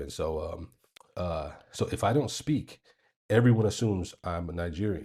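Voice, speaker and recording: A man with an American accent speaks at a fairly quick pace in a dark, mellow, somewhat breathy tone, captured in a very clean recording with a silent background. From United States. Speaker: vlogger. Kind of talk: casual storytelling. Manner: hesitant, many fillers.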